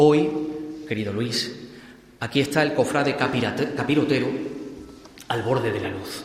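A man's medium-pitched voice at a fairly slow pace against noticeable background noise. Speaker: pregonero giving a Holy Week address. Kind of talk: solemn pregón, declaimed poetic verse with rhythmic, rhymed cadence. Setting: stage with audience, church theatre. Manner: rhetorical, elevated, lyrical, measured and emphatic delivery.

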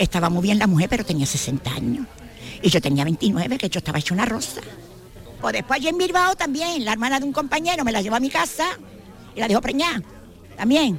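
Against noticeable background noise, a woman with a fairly high voice talks at a fairly quick pace, with very wide pitch swings and long, frequent pauses. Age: 70s. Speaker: amateur monologuist. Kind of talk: radio interview.

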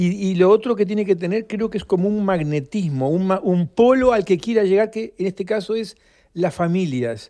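Against a quiet background, a man with a Uruguayan accent, a high pitch and a dark, mellow tone speaks at a moderate pace with ordinary pitch variation. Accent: Rioplatense Spanish (Uruguayan). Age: 70s. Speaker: author. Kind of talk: interview. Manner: halting, frequent repetitions.

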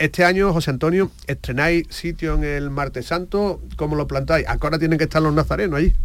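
A man with a plain, everyday voice, fairly high pitch, fairly quick pace and fairly even intonation. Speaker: radio host. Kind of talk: radio show presenting. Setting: radio studio.

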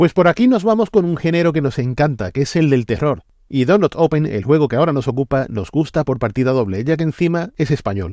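A man speaks with a fairly high pitch and a dark, mellow tone, at a fairly quick pace with hardly any pauses. The sound is dry and close with no echo, over a quiet background. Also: lively intonation. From Andalusia. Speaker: video game critic. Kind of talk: scripted review.

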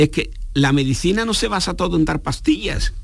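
With lively intonation and a fairly high pitch, a man talks at a fairly slow pace in a room with audible echo. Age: 60s. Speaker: geriatrician. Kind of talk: radio interview. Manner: formal.

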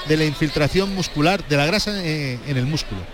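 A man's fairly high voice with ordinary pitch variation, over noticeable background noise. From Jaén, Andalusia. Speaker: bullfighting commentator. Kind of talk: live commentary. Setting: bullring.

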